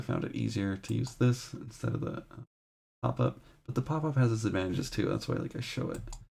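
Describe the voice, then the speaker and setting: A soft-spoken man at a very fast pace. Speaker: game development tutorial streamer. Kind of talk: tutorial. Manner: quiet, soft-spoken.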